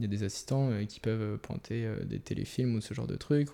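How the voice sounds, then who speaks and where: A man speaks at medium pitch in a dark, mellow tone, with ordinary pitch variation and a moderate pace. The recording is very clean, the background silent. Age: 20s. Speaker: first camera assistant. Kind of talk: casual chat.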